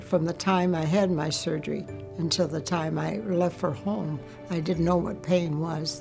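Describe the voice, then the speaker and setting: Music plays behind a woman who talks at a moderate pace in a fairly low pitch. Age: 80s+. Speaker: bladder cancer survivor. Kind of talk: interview answer.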